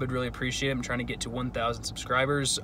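Noticeable background noise sits behind a man talking at a very fast pace. The sound is dry, with no echo. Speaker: travel vlogger. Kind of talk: casual vlog chat. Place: car. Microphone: phone near.

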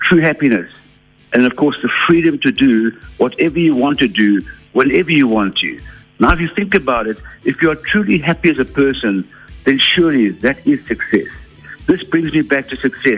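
Faint music plays behind a man. He speaks at a moderate pace. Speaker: radio guest. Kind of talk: interview answer. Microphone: phone line.

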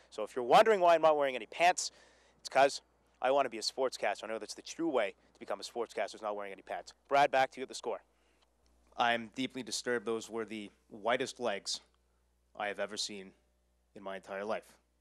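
Over a quiet background, a man talks at a very fast pace with big swings in loudness and a dry sound with no echo. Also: ordinary pitch variation. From Quebec, Montreal. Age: 20s. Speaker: radio news and sports director; radio news. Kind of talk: mock sportscast audition. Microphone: handheld.

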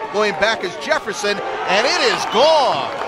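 Over noticeable background noise, a man with a high pitch projects his voice in an energetic tone at a fairly slow pace. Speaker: baseball play-by-play commentator. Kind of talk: live baseball commentary, highlight-reel play-by-play. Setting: baseball ballpark broadcast. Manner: energetic, clipped and rising in pitch on big hits.

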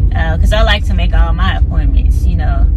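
Loud background noise fills the clip. Through it, a woman is speaking. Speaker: vlogger. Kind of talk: casual vlog chat. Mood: mildly annoyed, relaxed. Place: car. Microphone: phone near.

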